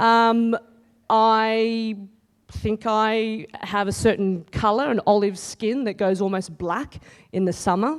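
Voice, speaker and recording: In a very clean recording over a silent background, a woman with an Australian accent speaks at a very slow pace with a fairly high pitch and fairly even intonation. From Australia, countryside. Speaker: TV news reporter. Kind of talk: conference talk. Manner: loud.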